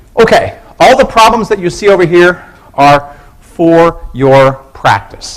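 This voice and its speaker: A man speaks with very wide swings in pitch. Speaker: university professor. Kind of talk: lecture. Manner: fast.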